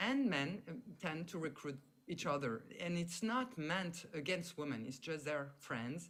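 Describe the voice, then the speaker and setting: A woman with a fairly low pitch speaks at a fairly slow pace, her pitch swinging very widely. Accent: French. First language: French. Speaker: sociologist, professor. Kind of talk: talk in online panel discussion. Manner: halting.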